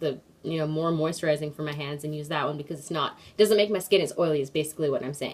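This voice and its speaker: Against noticeable background noise, a woman speaks in a very deep, low pitch. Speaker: beauty vlogger. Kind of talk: tutorial. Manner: fast; casual, filler-heavy.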